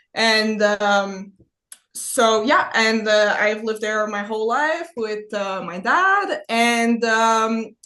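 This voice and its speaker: The tone is bright and sharp, with ordinary pitch variation. The pace is very slow. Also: woman, fairly high pitch for a woman. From Quebec, Gatineau. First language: French. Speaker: production designer, podcast guest. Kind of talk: casual chat. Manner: halting.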